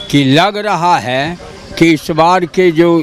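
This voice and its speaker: A man's high-pitched voice with ordinary pitch variation and noticeable background noise. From Bihar, Begusarai. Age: 70s. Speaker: local voter. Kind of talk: street interview.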